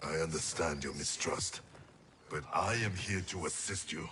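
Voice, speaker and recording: A man's put-on character voice, very deep and low in pitch, at a moderate pace. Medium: video game. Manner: solemn, clipped.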